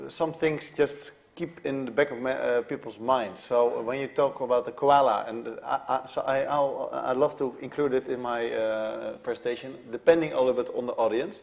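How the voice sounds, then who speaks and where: Over noticeable background noise, a man talks at a moderate pace and medium pitch, with hardly any pauses and fairly even intonation. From Netherlands. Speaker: conference speaker. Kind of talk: panel discussion answer. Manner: halting, with fillers.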